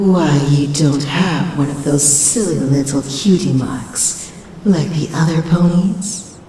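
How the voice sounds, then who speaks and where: A put-on character voice at middle pitch and a fairly slow pace, with clear echo. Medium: audio drama. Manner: silky, condescending.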